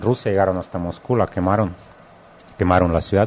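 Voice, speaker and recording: A man with fairly even intonation over noticeable background noise. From Russia. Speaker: radio host. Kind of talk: interview. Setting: studio.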